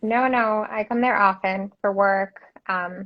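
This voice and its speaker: A woman talks at a medium pitch with fairly even intonation. It is an ordinary speaking voice. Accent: American. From Detroit. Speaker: interior designer. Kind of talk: casual interview. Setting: live video stream.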